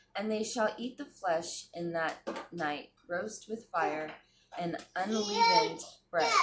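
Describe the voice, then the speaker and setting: A woman's medium-pitched voice, very slow and with lively intonation, over noticeable background noise. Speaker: Bible reading channel host. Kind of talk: reading aloud.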